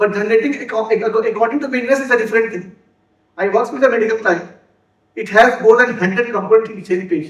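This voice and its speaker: Audible room echo surrounds a very fast voice with big swings in loudness and ordinary pitch variation. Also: man, high pitch for a man. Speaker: software developer and conference speaker. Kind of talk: conference talk. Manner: halting, with repeated words and self-corrections.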